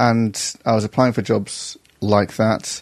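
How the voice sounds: A man speaks with a slight northern English accent. His tone is slightly mellow and his intonation fairly even.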